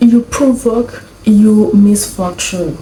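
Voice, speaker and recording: A woman speaks at a fairly high pitch with a non-native accent. Her intonation stays fairly even over noticeable background noise. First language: not English. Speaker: YouTuber reacting to videos. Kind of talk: reaction commentary. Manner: halting.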